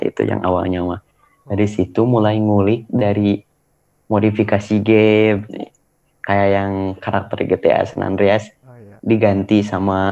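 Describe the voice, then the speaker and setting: The man's pitch sits fairly low and his intonation is monotone and flat. He moves at a fairly slow pace. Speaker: interview guest. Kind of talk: interview answer. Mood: cheerful, smiling, relaxed. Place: home room. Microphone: video call.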